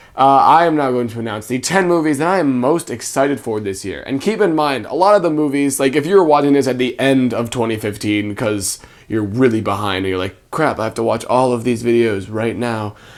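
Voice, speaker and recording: There is noticeable background noise as a man talks at a fairly quick pace with hardly any pauses. His voice is medium-pitched, with lively intonation. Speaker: movie reviewer. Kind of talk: casual vlog. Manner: casual, filler-heavy.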